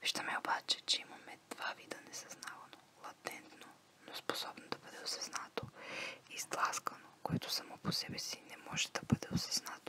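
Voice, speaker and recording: A woman whispers, with big swings in loudness. Noticeable background noise sits behind her. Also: moderate pace. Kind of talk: ASMR reading of a psychology text. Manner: whispered.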